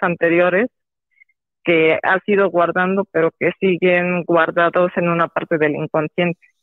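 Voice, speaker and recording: At a fairly slow pace, a woman talks in an unremarkable speaking voice, fairly low in pitch. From Mexico. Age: 30s. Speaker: psychologist. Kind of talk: phone-in interview.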